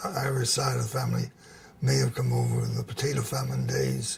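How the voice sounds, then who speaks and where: An American accent comes from a man speaking at a moderate pace. Noticeable background noise sits under the voice. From US South, New Orleans. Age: 80s+. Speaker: interviewee, civic figure. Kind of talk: oral history interview. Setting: at home. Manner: halting.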